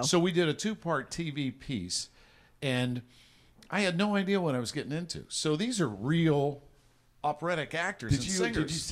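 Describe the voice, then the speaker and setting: A plain, everyday voice talks at a moderate pace with lively intonation, on a very clean recording with a silent background. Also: man, fairly high pitch for a man. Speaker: voice-over announcer, recorded casino overhead announcements; podcast co-host. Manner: humorous storyteller.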